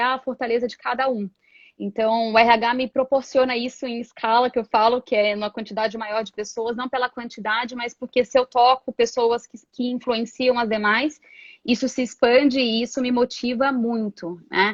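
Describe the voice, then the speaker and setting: Speaking at a moderate pace, a woman holds a high pitch in a monotone, flat intonation. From Brasília, Brazil. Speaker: HR professional and coach. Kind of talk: live interview.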